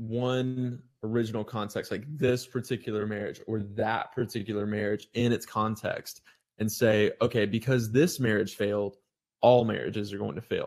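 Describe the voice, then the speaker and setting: A man with an American accent speaks at medium pitch in an unremarkable speaking voice. His pace is fairly slow and his intonation fairly even. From US South, North Florida. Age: 20s. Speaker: evangelist. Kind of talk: casual chat.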